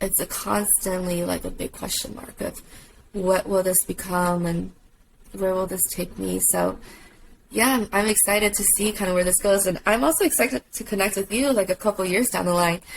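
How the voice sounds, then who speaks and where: A woman talks at a moderate pace, her pitch varying in an ordinary way, while noticeable background noise runs underneath. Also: medium pitch for a woman. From China, moved to US at ten. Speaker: tattoo artist. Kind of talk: casual chat.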